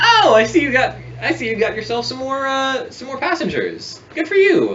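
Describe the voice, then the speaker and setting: At a moderate pace, the lines come out in a put-on character voice. Its pitch is high. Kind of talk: role-play character voice. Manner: confused, polite.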